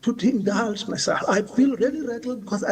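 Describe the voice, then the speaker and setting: A man speaks at a moderate pace with ordinary pitch variation. Noticeable background noise runs behind him. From South Africa. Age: 60s. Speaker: witness at a commission. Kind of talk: testimony. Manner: halting.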